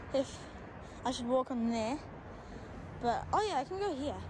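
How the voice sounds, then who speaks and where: A woman speaks at a moderate pace in a dry sound with no echo and noticeable background noise. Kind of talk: casual vlog commentary. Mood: excited, awed. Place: open country. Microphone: phone near.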